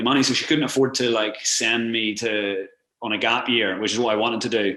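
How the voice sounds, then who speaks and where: With a Northern Irish accent, a man speaks fairly quickly at a medium pitch in a bright, sharp tone. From Northern Ireland. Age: 30s. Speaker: travel blogger and adventurer. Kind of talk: casual interview chat. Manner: fast, filler-heavy with repeated words.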